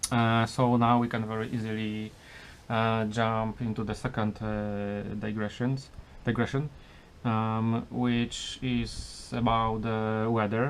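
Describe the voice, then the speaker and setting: Someone speaks with a Polish accent at a very slow pace. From Poland. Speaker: car restoration vlogger. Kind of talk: casual vlog. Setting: garage. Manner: halting, many filler sounds.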